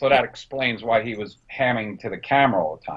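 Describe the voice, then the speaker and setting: This man has a New Jersey accent and a medium pitch. He speaks at a moderate pace. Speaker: film director and production designer. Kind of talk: interview.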